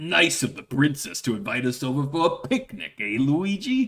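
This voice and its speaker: The speaker puts on a character voice. The pace is moderate. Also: man, fairly high pitch for a man. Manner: cheerful, exaggerated.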